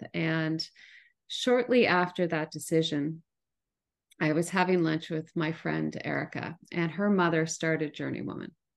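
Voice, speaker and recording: A woman's fairly low-pitched voice, an unremarkable speaking voice, fairly slow with ordinary pitch variation, over a quiet background. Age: 50s. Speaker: travel media CEO and editor. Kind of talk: casual interview chat.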